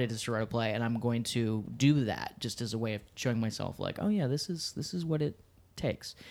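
A man with an American accent speaks in a plain, everyday voice at medium pitch and a moderate pace. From Washington, D.C. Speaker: theater literary associate. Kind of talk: casual chat.

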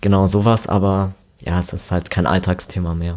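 The man's fairly low pitch carries a fairly slow pace. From Immenstadt, Allgäu, Bavaria. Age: 20s. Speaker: interview guest. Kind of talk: interview.

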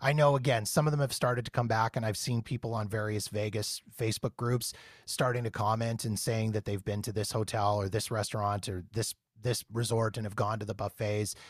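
A somewhat breathy man's voice at medium pitch, fairly quick and fairly even in intonation, dry and close with no echo, on a very clean recording with a silent background. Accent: Canadian. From Canada. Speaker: podcast host, Las Vegas travel enthusiast. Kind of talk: casual interview.

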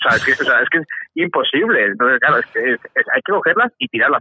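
A man talks at a very fast pace. His loudness stays very even. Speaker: podcaster and father. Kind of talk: casual chat.

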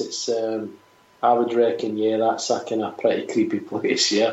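With a Glaswegian accent, a man talks at a fairly slow pace against noticeable background noise. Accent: Scottish, Glaswegian. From Scotland. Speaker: musician, singer in a band. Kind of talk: casual interview chat.

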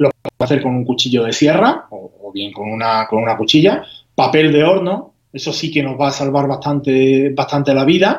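A man with an ordinary speaking voice talks at a fairly high pitch with ordinary pitch variation. He keeps a moderate pace with hardly any pauses. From Spain, Huelva (Andalusia). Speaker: home baker. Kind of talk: tutorial.

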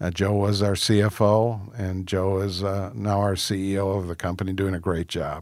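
A fairly low male voice in an American accent, monotone and flat, at a moderate pace with hardly any pauses, on a very clean recording with a silent background. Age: 60s. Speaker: restaurant founder and chairman. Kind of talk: interview.

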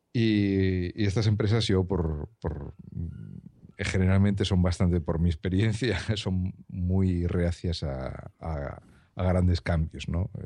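Against a quiet background, a man speaks at a very slow pace in a very deep, low voice with a dark, mellow tone and ordinary pitch variation. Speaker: office worker and fellow podcaster. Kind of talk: casual chat.

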